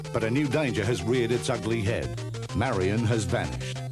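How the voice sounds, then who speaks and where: Fairly quick pace from a man with music in the background. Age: old. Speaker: voice actor. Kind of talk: promotional video game preview narration. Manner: trying to sound cool.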